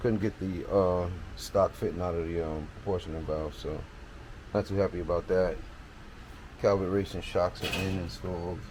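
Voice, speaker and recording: A soft-spoken man with a very deep, low pitch, at a moderate pace and with fairly even intonation. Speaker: car restoration hobbyist. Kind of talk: casual video update.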